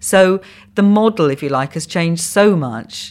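A woman's fairly low voice with a Welsh accent and lively intonation. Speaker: comedy commissioning editor and producer. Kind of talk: podcast interview.

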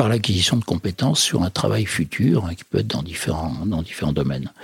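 There is noticeable background noise in this clip. The speaker moves at a fairly quick pace with lively intonation. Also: man. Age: 60s. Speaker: federation president, social enterprise leader. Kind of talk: interview. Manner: hesitant, many fillers.

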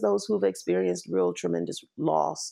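The speaker has a Washington DC accent and talks at a moderate pace. The background is quiet. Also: woman. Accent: Washington D.C. accent, still noticeable. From Washington, D.C. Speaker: nonprofit CEO. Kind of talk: interview, casual conversation.

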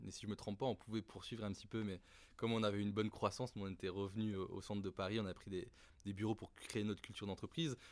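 On a very clean recording with a silent background, a man talks at a very fast pace in a fairly low pitch with fairly even intonation. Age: 30s. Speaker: startup founder and CEO. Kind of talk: interview.

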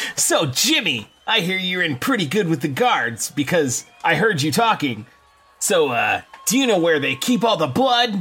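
A man's put-on character voice, high-pitched with very wide pitch swings, at a moderate pace over music in the background.

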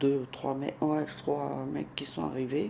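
A dark, mellow tone with ordinary pitch variation at a fairly slow pace. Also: woman. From Naples, Italy. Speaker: crime victim witness. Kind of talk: testimony. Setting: at home. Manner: halting.

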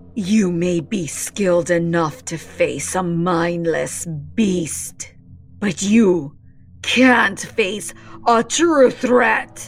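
A woman's medium-pitched voice with lively intonation, a very slow pace, and faint music in the background. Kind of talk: bloodthirsty arena announcing. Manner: shouting, fervent.

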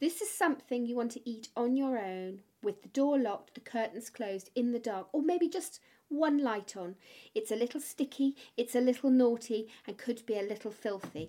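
A woman speaks with a British accent at a high pitch. Her tone is dark and mellow. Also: lively intonation, moderate pace. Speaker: podcast host. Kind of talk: casual interview chat. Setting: home edit suite.

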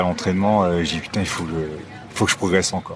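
A man speaks at a very fast pace in a very deep, low voice with monotone, flat intonation. Noticeable background noise sits behind him. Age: 50s. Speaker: former Olympic kayaker. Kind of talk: casual chat. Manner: halting.

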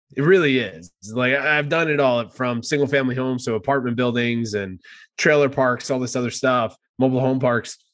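Against a quiet background, a man with a normal speaking voice and an American accent talks at a fairly quick pace, medium in pitch, with ordinary pitch variation. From New Jersey. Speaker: podcast host, real estate investor. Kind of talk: casual podcast chat.

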